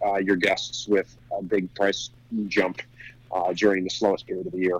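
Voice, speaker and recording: Here a man with an American accent speaks at a moderate pace. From New Jersey. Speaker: restaurant owner. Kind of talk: interview. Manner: halting.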